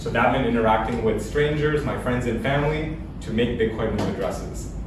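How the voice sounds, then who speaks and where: Talking at a fairly quick pace with fairly even intonation, a man with a medium-pitched voice is heard amid noticeable background noise and audible room echo. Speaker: bitcoin speaker. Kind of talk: presentation talk.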